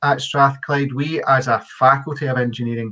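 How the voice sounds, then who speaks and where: The voice carries a Scottish accent. The pace is moderate. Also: man. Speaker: university engineering faculty representative. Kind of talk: webinar presentation. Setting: online webinar.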